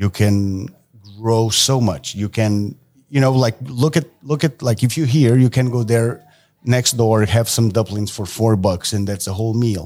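In a dark, mellow tone, a man speaks at a fairly slow pace. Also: medium pitch for a man, ordinary pitch variation, very clean recording, silent background. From Portugal. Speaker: tattoo artist. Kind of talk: casual chat.

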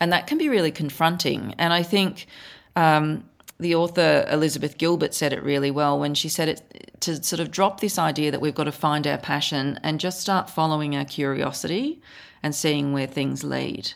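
A woman with an Australian accent talks at a moderate pace in a very deep, low pitch, with vocal fry. Her intonation stays fairly even. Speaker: author and photographer. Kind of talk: interview, conversational.

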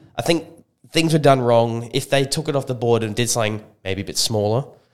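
With an Australian accent, a speaker talks at a fairly quick pace with lively intonation. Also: man. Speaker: supplement shop co-host. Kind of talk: casual chat. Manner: laid-back, agreeable.

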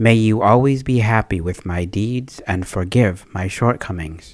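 On a very clean recording with a silent background, a man with a plain, everyday voice talks at a fairly slow pace and fairly low pitch. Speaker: person praying. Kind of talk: spoken prayer, devotional. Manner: fervent, earnest.

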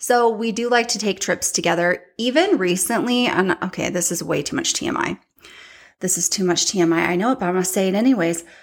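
This woman talks at a fairly quick pace in an animated tone, with a medium pitch. The recording is very clean, with a silent background. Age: 30s. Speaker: podcast host and social media influencer. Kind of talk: casual personal monologue.

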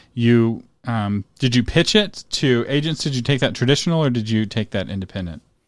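Using an ordinary speaking voice, a man talks with lively intonation. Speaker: podcast host. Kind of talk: interview conversation.

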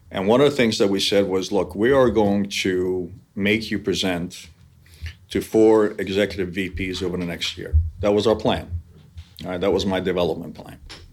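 On a very clean recording with a silent background, a man with a normal speaking voice talks at a moderate pace, his fairly low pitch carrying fairly even intonation. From New York area (born in Hungary). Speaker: business executive. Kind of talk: interview.

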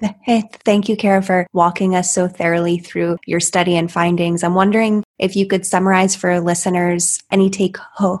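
Using an ordinary speaking voice, a woman talks at a moderate pace and medium pitch, her intonation fairly even. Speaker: podcast host. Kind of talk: interview.

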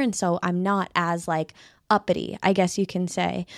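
A woman with an American accent, medium-pitched, fairly even in intonation, an unremarkable speaking voice, on a very clean recording with a silent background. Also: dry, close sound with no echo. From California. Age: 20s. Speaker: podcast host. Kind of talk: casual chat. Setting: studio.

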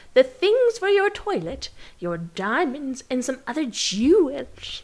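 A woman puts on a character voice. It sits high and swings very widely in pitch.

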